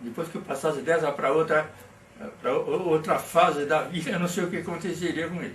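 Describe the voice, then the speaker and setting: A man with a high-pitched voice talks at a moderate pace amid audible room echo. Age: 80s+. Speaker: workplace safety pioneer. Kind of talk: interview. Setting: at his home. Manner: halting.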